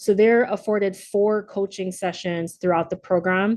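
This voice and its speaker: This woman speaks at a medium pitch. Her intonation stays fairly even. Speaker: leadership program facilitator. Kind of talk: virtual presentation. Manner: halting, many fillers; fast.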